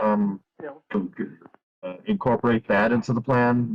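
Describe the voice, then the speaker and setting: A man at a very slow pace, with a dry, close sound and no echo. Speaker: livestream host. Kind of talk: casual chat. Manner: halting.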